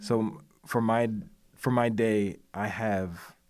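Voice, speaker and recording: An unremarkable speaking voice from a man, fairly low in pitch with fairly even intonation, in a very clean recording with a silent background. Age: 40s. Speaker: creative network co-founder. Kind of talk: casual chat. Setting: studio.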